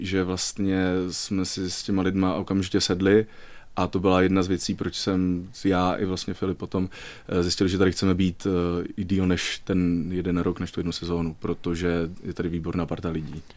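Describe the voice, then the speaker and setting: A man with a very deep, low pitch, monotone and flat, at a moderate pace, on a very clean recording with a silent background. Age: 20s. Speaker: stage actor. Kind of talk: radio interview. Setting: radio studio.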